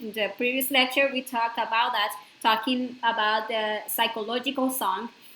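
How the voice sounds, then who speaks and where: A woman speaks at a moderate pace. Audible room echo is present. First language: not English. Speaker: spiritual course lecturer. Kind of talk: lecture. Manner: halting, with fillers.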